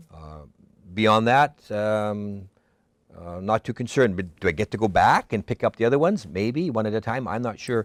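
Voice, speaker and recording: In a dry, close sound with no echo and a very clean recording with a silent background, a man speaks at a moderate pace with a fairly low pitch, ordinary pitch variation and big swings in loudness. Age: 60s. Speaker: college instructor, former community TV producer. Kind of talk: casual interview. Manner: halting.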